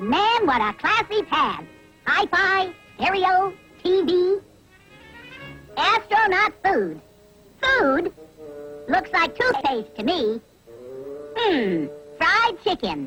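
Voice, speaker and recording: A cartoonish character voice moves at a very slow pace with long, frequent pauses, faint music playing in the background. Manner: cheeky, wisecracking.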